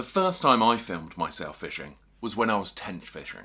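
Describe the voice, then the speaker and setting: Against a quiet background, a man with vocal fry talks at a moderate pace with very wide pitch swings. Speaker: fishing video creator. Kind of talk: tutorial. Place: home room.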